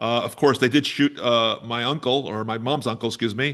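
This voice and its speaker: Over a quiet background, a man with a Bronx accent speaks at a moderate pace with fairly even intonation. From New York City, the Bronx. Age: 60s. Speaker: activist and musician. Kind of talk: interview conversation.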